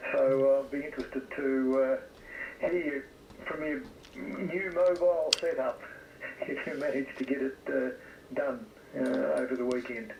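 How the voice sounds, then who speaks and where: A man with an Australian accent talks at a moderate pace, leaving long, frequent pauses, with noticeable background noise. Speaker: amateur radio operator. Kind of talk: casual radio chat. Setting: radio shack at home.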